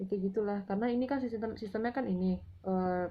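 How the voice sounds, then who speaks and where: This woman's voice is somewhat breathy, with medium pitch. Her intonation is fairly even and her pace moderate. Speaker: book author and vlogger. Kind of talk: casual vlog monologue. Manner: hesitant, with fillers.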